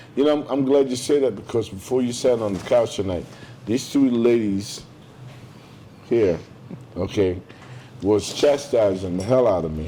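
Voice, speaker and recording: Noticeable background noise sits behind a man speaking at a moderate pace with long, frequent pauses. His medium pitch has ordinary variation. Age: 60s. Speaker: podcast host. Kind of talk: casual interview conversation. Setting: restaurant, filmed podcast.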